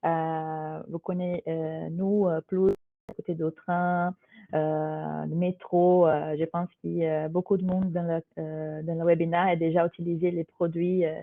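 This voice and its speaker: A woman with a Brazilian accent speaks at a very slow pace. Her pitch is fairly low and her intonation monotone and flat. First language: Portuguese (speaking French). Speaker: corporate HR digital manager. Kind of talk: webinar presentation. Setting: live online webinar. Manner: hesitant, many fillers.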